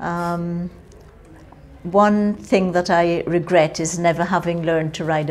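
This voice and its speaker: Noticeable background noise surrounds this woman. Her pitch is very deep and low, and her intonation is fairly even. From Jamaica. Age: 60s. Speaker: interviewee, Windrush-generation migrant. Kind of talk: oral history interview.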